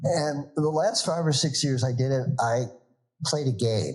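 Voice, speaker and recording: Speaking at a moderate pace, a man with a medium pitch sounds somewhat breathy and uses lively intonation. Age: 70s. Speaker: organizational consultant and yoga teacher. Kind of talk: podcast interview.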